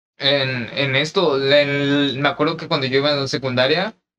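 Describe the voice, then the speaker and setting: In a Mexican accent, a man speaks with a fairly high pitch and a bright, sharp tone. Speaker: podcast co-host. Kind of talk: casual chat.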